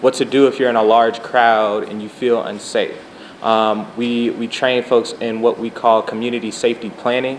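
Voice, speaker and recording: A soft-spoken man talks in a monotone, flat intonation at medium pitch, with noticeable background noise. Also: moderate pace. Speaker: community medic trainer. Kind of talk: interview. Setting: live stream with audience.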